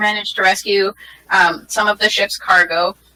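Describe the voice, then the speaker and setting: A woman in a raspy put-on character voice, medium in pitch, with monotone, flat intonation at a moderate pace. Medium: actual play. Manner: polite, measured.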